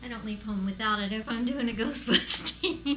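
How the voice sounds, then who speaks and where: Loud background noise runs through the whole clip. Over it, a woman talks. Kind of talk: casual show-and-tell talk. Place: home room. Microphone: camera far.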